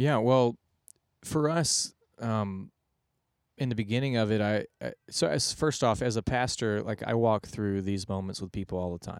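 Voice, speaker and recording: On a very clean recording with a silent background and a dry, close sound with no echo, a man with an American accent uses an unremarkable speaking voice at a fairly low pitch, with ordinary pitch variation and a moderate pace. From Texas (Houston). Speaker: pastor. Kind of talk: podcast interview, personal testimony.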